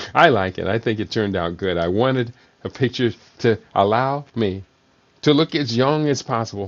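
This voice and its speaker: A man with a plain, everyday voice talks at a moderate pace and medium pitch, with ordinary pitch variation. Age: 60s. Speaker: talk show host, health educator. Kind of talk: live solo show on nutrition. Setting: live online broadcast.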